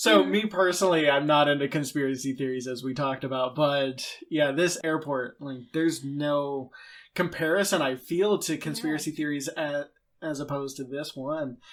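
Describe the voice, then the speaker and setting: Here is a normal speaking voice, with ordinary pitch variation at a moderate pace. Behind it the background is silent, and the recording is very clean. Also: man, fairly high pitch for a man. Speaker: podcast host. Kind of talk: interview question.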